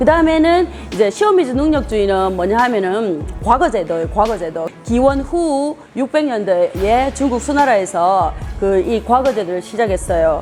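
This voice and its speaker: A woman's fairly high voice with very wide pitch swings, at a moderate pace, over music in the background. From Gyeongsang region, South Korea. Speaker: education professor. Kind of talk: interview answer. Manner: clear, emphatic.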